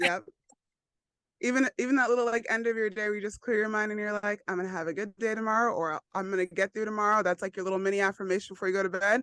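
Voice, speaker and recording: A woman with an American accent speaks at a very fast pace and medium pitch, with fairly even intonation, in a dry, close sound with no echo. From New York. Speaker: yoga instructor. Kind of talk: casual interview chat.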